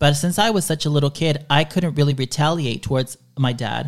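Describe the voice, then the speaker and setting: A man with an American accent and a normal speaking voice, fairly high in pitch, with fairly even intonation, in a very clean recording with a silent background. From Dallas, Texas, after early childhood in Chile. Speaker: podcaster. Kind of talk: casual interview.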